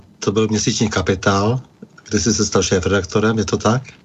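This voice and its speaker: Fairly low-pitched male speech against noticeable background noise. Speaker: radio host. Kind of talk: interview discussion. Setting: radio studio. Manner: formal.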